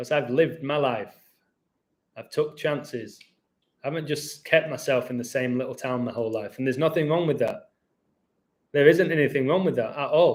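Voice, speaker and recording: With an English accent, a man speaks at a fairly high pitch with ordinary variation, leaving long, frequent pauses. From England. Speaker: YouTuber. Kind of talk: live stream chat. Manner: fast; animated.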